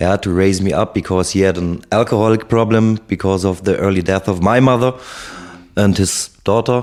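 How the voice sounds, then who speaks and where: This man has a German accent and a fairly low pitch. He talks at a moderate pace with fairly even intonation. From Germany (Heidelberg, Konstanz). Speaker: ex-soldier. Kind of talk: interview. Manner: halting, many fillers.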